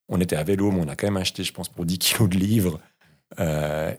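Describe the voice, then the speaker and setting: A man talks at a very deep, low pitch with ordinary pitch variation. The recording is very clean, with a silent background. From Switzerland, Vaud (Lake Geneva region). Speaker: podcast host. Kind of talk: casual chat. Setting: farmhouse room.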